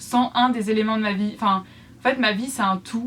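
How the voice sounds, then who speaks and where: A woman speaks at a moderate pace. Her voice is fairly high, with ordinary pitch variation. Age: 20s. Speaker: YouTuber and student crafter. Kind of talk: casual vlog talk to viewers. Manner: hesitant, many fillers.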